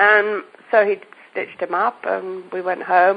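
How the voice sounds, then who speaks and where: In an English accent, a woman talks with fairly even intonation. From England. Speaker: homeopath. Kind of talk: podcast interview. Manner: halting, self-correcting.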